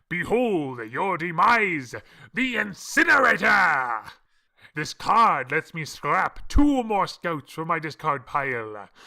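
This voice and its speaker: On a very clean recording with a silent background, a man does a put-on character voice, high in pitch and fairly slow. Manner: theatrical, gloating.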